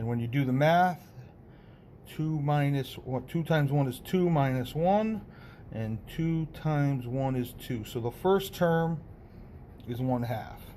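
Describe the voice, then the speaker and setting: Audible room echo surrounds a man's dark, mellow voice, which sits at a fairly high pitch with ordinary pitch variation. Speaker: math teacher. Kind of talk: lecture.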